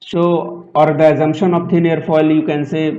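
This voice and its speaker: Audible room echo surrounds a man's voice, with noticeable background noise. He speaks at a fairly slow pace. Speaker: aerospace engineering lecturer. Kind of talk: lecture.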